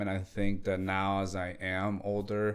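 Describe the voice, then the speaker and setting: A man speaks at a very slow pace, with audible room echo around his voice. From Latin America, moved to US in second grade. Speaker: entrepreneur. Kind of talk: interview. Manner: halting, many fillers and restarts.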